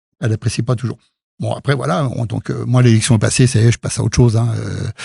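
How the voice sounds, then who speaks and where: A man at a very fast pace, dry and close with no echo. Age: 70s. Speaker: local politician. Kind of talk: interview. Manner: halting, many fillers.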